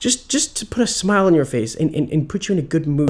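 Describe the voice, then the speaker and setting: At a very fast pace, a man speaks in a dark, mellow tone with very wide pitch swings. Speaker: video creator holding the camera. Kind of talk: casual vlog intro.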